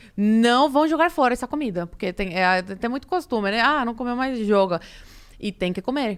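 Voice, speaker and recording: A woman with a non-native accent and a high pitch, animated in tone and lively in intonation, on a very clean recording with a silent background. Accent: foreign accent in Portuguese. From Cuba. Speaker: immigrant interviewee. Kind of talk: podcast interview.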